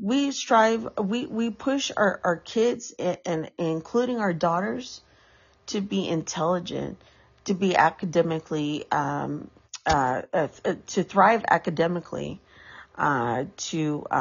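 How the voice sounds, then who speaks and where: Very slowly, a woman with a fairly low pitch speaks with very wide pitch swings. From US, San Francisco. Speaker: podcaster. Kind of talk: casual monologue. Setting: home, on a couch. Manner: halting, many fillers.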